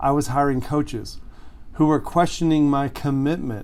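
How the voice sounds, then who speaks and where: Fairly high in pitch, a man uses an ordinary speaking voice with fairly even intonation at a moderate pace. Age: 60s. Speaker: relationship coach. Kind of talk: direct-to-camera monologue. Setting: home recording studio in a shed. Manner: conversational, earnest.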